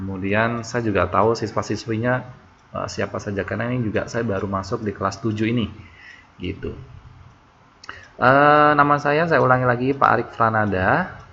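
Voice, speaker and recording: Medium-pitched male voice with a bright, sharp tone, ordinary pitch variation and a fairly quick pace. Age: 20s. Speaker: online tutor. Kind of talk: online class introduction. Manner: halting.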